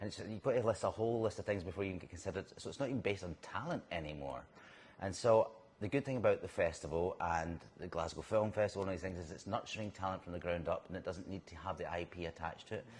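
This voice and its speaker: A very fast, somewhat breathy man's voice with a very deep, low pitch and a Scottish accent. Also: ordinary pitch variation. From Scotland. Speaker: actor. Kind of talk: interview. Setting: on location in a bar.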